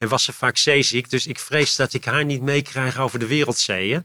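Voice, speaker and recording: The man's voice sits fairly high, with a bright, sharp tone and fairly even intonation. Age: 60s. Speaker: foundation CEO. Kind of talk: interview conversation. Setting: in person recording. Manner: halting.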